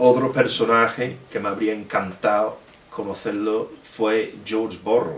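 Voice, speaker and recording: With a southern Spanish accent, a man speaks at a medium pitch and a fairly slow pace, with audible room echo and noticeable background noise. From Britain. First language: English (speaking Spanish). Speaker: historian and author. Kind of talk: Q&A at book presentation. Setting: bookshop event with audience. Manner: halting, many fillers.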